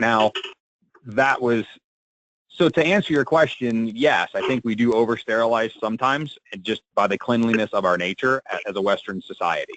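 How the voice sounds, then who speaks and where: Here a man speaks at a moderate pace and medium pitch, with ordinary pitch variation. The sound is dry and close, with no echo. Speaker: dietitian. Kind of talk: conference call presentation. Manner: animated.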